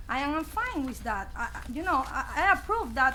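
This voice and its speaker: Projecting her voice at a fairly slow pace, a woman with a non-native accent uses ordinary pitch variation, and there is audible room echo. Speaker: homeowner addressing city council. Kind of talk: public comment at council meeting. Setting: council meeting chamber with audience. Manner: halting.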